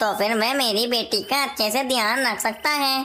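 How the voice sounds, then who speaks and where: A cartoonish character voice, female-sounding and fairly high in pitch, speaks at a moderate pace. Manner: earnest, concerned.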